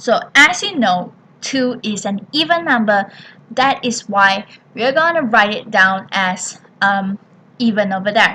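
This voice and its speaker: A woman with an ordinary speaking voice talks at a fairly slow pace, her fairly high pitch carried by lively intonation. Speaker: primary school maths teacher. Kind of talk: tutorial.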